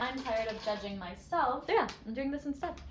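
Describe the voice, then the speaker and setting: Speaking fairly quickly with an American accent, a woman's high voice shows ordinary pitch variation, with noticeable background noise and audible room echo. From Western New York, rural. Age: 20s. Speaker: vlogger. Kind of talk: casual cooking vlog.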